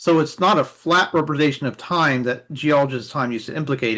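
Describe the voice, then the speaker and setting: Speech comes at a fairly quick pace against a quiet background. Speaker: reading group participant. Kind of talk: reading group discussion. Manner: fast.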